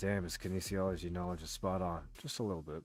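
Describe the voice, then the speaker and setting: Music plays in the background as a man speaks. His voice is very deep and low, and his pace is very fast. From England. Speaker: livestreamer. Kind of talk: casual chat. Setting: livestream.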